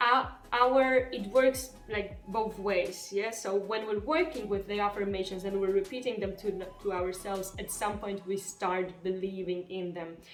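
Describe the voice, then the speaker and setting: Music plays in the background as a woman with a Polish accent speaks at medium pitch and a fairly slow pace, with ordinary pitch variation and hardly any pauses. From Poland. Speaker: spiritual self-help vlogger. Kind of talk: casual talk to camera. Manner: occasionally halting.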